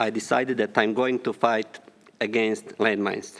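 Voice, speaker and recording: A man speaks in a Bosnian accent at a fairly slow pace. His intonation is monotone and flat. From Bosnia and Herzegovina. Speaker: landmine survivor and ex-deminer. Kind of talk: formal speech.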